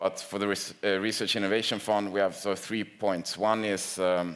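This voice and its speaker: A man speaks with a Swedish accent and a very deep, low pitch. His intonation stays monotone and flat. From Sweden. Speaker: industry association representative. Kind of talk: conference panel talk. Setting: conference with audience. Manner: hesitant, with fillers and repetitions.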